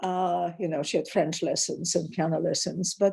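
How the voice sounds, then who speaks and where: A woman's fairly low-pitched voice with a dark, mellow tone. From Poland, emigrated to Canada at 13. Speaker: author and academic. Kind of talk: interview conversation. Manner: hesitant, many fillers.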